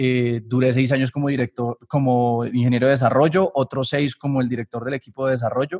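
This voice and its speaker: A man speaks at a medium pitch with an ordinary speaking voice and fairly even intonation. His pace is fairly quick, with hardly any pauses. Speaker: systems engineer and academy founder. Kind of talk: casual interview.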